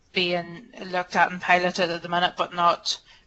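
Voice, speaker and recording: Here a woman speaks with a Northern Irish accent. Her voice is fairly low in pitch. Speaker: hospital clinician presenter. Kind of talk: webinar Q&A answer. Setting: webinar. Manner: hesitant.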